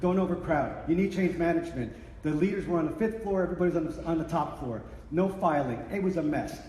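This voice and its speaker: Over noticeable background noise and audible room echo, a man with a high pitch talks at a very fast pace with ordinary pitch variation. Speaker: workplace change management consultant. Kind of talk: conference presentation. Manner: animated.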